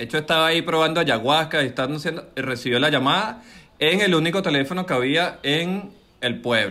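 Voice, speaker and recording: At a fairly quick pace, a man speaks in a fairly high voice with ordinary pitch variation. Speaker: podcast co-host. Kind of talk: casual chat. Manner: animated.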